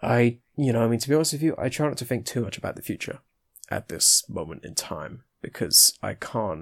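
A man with vocal fry talks at a fairly quick pace and a medium pitch. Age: young. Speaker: college student. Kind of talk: casual interview. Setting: video call.

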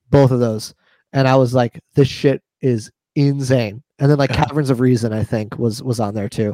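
A man with an unremarkable speaking voice and medium pitch talks at a moderate pace with fairly even intonation. The sound is dry and close, with no echo. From New York. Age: 30s. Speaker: metal drummer. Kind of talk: casual chat.

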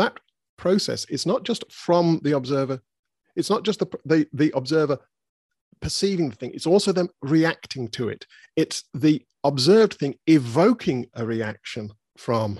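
A man with a British accent speaks at a fairly high pitch with lively intonation, in a dry, close sound with no echo. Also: moderate pace. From Britain. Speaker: philosopher. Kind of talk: interview conversation. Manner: halting, with many repetitions and fillers.

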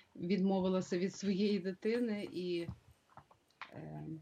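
A woman of medium pitch talks fairly slowly, her intonation fairly even. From Ukraine, Drohobych (western Ukraine). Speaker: community leader and school director. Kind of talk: interview; reading aloud.

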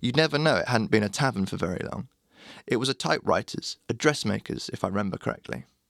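A man speaks at a very fast pace with vocal fry and lively intonation, in a very clean recording with a silent background and a dry, close sound with no echo. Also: medium pitch for a man. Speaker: blog narrator. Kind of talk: reading aloud a written blog post.

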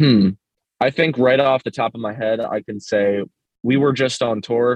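Speaking with an ordinary speaking voice, a man keeps a medium pitch, fairly even intonation and a moderate pace. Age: 20s. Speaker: hardcore band vocalist. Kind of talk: casual chat.

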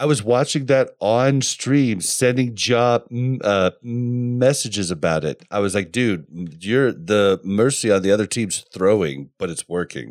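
A plain, everyday voice from a man, fairly low-pitched with lively intonation, at a fairly slow pace over a very clean recording with a silent background. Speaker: podcast co-host. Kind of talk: casual podcast chat.

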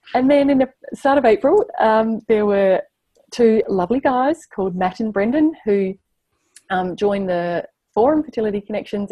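With an Australian accent, a woman speaks at a moderate pace in a fairly high pitch, her intonation lively. Her tone is dark and mellow, somewhat breathy, and the sound is dry and close with no echo. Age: 30s. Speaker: surrogate and maths teacher. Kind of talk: interview.

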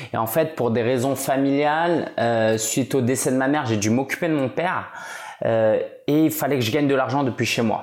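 A man with a plain, everyday voice speaks at a medium pitch and moderate pace, with ordinary pitch variation. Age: 30s. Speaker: entrepreneur and blogger. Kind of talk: casual interview.

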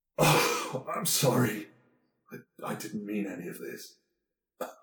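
A man uses a quiet, put-on character voice at a fairly slow pace. The recording has a clear echo. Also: medium pitch for a man. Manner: pained, kind.

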